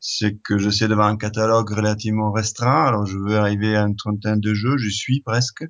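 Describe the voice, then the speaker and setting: Speaking at a fairly quick pace with hardly any pauses, a man keeps a fairly low pitch and a monotone, flat intonation. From Italy. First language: Italian (speaking French). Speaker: board game distributor, company founder. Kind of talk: interview. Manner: hesitant, many fillers and repetitions.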